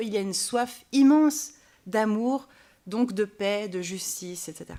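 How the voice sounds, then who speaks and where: On a very clean recording with a silent background, a woman speaks at a fairly high pitch and a very slow pace, with ordinary pitch variation. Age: 30s. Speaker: pastor. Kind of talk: panel debate. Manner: halting.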